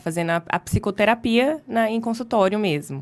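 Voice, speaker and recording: Her intonation is lively, and the woman's recording is very clean with a silent background. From interior of São Paulo state, Brazil (Ribeirão Preto). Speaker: psychologist. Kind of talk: podcast interview.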